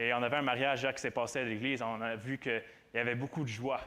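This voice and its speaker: The man's tone is bright and sharp. He speaks at a moderate pace in a monotone, flat delivery. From Quebec, Granby area. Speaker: student preacher. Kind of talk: sermon. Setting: church with audience. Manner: halting, many repetitions.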